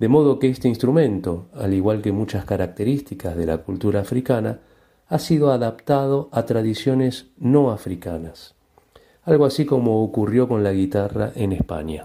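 A man's medium-pitched voice with a dark, mellow tone, lively intonation and a moderate pace, on a very clean recording with a silent background. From Argentina. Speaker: banjo player. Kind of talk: interview.

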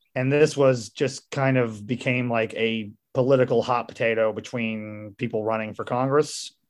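A man with a normal speaking voice talks in an American accent at a medium pitch. His pace is moderate, his intonation fairly even, and there are hardly any pauses. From rural Missouri. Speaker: podcast host. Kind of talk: casual interview.

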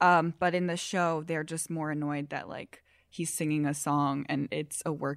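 A woman at a moderate pace, with a fairly low pitch. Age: young. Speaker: podcast host. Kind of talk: casual interview. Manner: animated.

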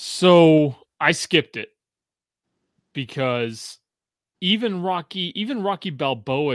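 A man's voice makes very wide pitch swings and big swings in loudness, broken by long, frequent pauses, on a very clean recording with a silent background. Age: 40s. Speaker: podcast host. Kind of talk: casual chat.

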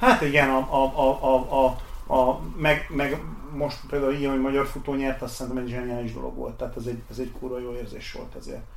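A man's fairly quick, monotone speech at medium pitch, with big swings in loudness, audible room echo and noticeable background noise. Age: 40s. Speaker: race organizer. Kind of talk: interview. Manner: halting.

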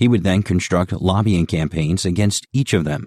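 An unremarkable speaking voice from a man, lively in intonation and moderate in pace, with a dry, close sound and no echo. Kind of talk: literary audiobook reading of a humorous first-person column, wry and conversational. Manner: measured, narrative pacing with mock-earnest tone.

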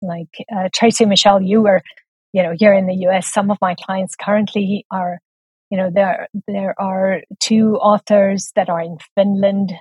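A woman with a South African accent at medium pitch, somewhat breathy, at a fairly slow pace with monotone, flat intonation. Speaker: book coach and editor. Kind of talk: casual interview chat.

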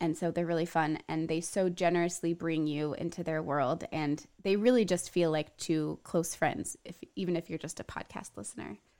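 Her voice has a dark, mellow tone at a fairly low pitch. The woman speaks at a moderate pace with ordinary pitch variation. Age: 30s. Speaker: podcast host. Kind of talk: casual chat. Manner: animated.

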